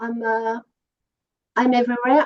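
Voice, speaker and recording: The speaker has a French accent. The sound is dry and close, with no echo. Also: woman. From France, Paris. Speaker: musician. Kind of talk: interview. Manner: halting, many fillers.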